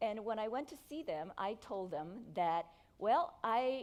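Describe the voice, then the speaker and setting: Speaking in a Korean accent, a woman uses a fairly high pitch and lively intonation. Her pace is fairly slow. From South Korea. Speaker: entrepreneur. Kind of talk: keynote speech.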